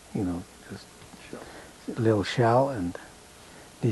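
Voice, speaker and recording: Noticeable background noise sits behind this recording. A man speaks in a fairly low pitch. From Canada, rural Manitoba, Ukrainian community. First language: Ukrainian. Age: 80s+. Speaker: elderly man recounting his life. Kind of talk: life story interview.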